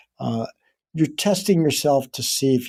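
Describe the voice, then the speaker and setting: A man's dark, mellow voice on a very clean recording with a silent background. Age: 70s. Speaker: fitness trainer. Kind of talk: interview. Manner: halting.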